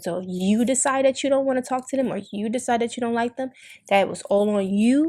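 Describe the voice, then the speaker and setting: This woman's speech moves fairly quickly, and her pitch rises and falls in an ordinary way. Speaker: podcast host. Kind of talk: casual chat.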